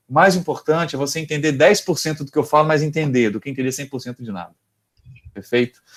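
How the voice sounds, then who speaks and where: Delivered at a very fast pace with ordinary pitch variation and big swings in loudness, the speech comes from a very clean recording with a silent background. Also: man, fairly high pitch for a man. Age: 30s. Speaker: university lecturer. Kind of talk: lecture. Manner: halting.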